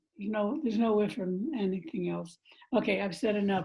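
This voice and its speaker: A somewhat breathy woman speaks at a fairly quick pace and medium pitch, with ordinary pitch variation. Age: 80s+. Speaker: radio host and concert organizer. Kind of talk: casual remarks. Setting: video call.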